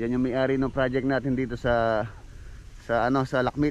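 The sound is dry with no echo, over light background noise. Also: man. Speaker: construction vlogger. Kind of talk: casual vlog chat. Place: open country. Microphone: phone near.

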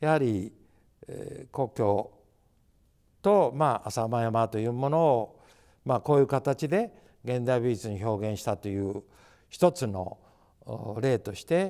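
Against a quiet background, a man with a dark, mellow tone talks at a fairly slow pace, using lively intonation, big swings in loudness, and long, frequent pauses. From Japan, Nagano (Saku); Nagano, Japan. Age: 80s+. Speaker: artist. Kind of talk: interview. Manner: halting. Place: hall. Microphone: lapel.

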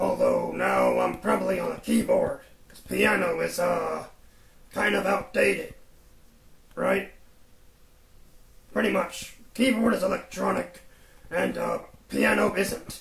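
A cartoonish character voice moves at a fairly slow pace, broken by long, frequent pauses. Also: man. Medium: puppet show. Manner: relaxed, rambling, folksy.

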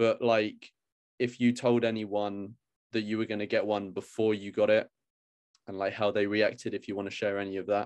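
The speaker has a British accent and monotone, flat intonation. The pace is moderate and the background quiet. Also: man, fairly low pitch for a man. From UK. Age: 20s. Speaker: YouTuber. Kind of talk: casual chat. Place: home room. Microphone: video call.

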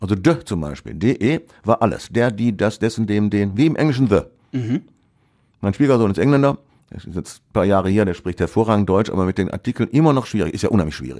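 On a very clean recording with a silent background, a man with a fairly low pitch and a dark, mellow tone talks at a fairly quick pace with lively intonation. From Ruhr area, Essen. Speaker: author and retired teacher. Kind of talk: casual interview.

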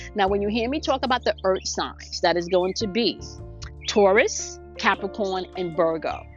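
At a moderate pace, a woman speaks in a dry recording with no echo while faint music plays in the background. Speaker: spiritual coach. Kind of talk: spiritual daily message monologue. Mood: warm, upbeat. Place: open country.

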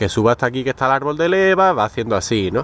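The speaker uses lively intonation in a dry recording with no echo and light background noise. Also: man. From Spain. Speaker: motorcycle mechanics youtuber. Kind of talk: tutorial. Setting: in a car. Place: street. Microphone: phone near.

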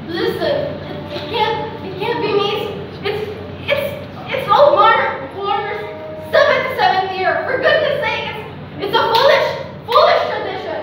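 A woman talks at a moderate pace in an extremely high pitch, with long, frequent pauses and big swings in loudness. Strong room echo and light background noise surround her voice. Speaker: stage actor. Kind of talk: theatrical dialogue, pleading. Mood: desperate, pleading, distressed. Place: hall. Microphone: camera far.

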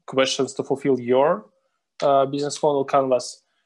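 In quiet surroundings, the man talks at a medium tempo. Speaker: presenter. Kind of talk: lecture. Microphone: video call.

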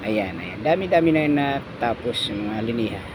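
A medium-pitched male voice at a moderate pace, with noticeable background noise. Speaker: construction painter and vlogger. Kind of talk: casual vlog narration. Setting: construction site.

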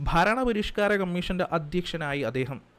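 A man's high-pitched voice. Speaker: exam coaching teacher. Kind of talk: lecture. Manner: repetitive, emphatic.

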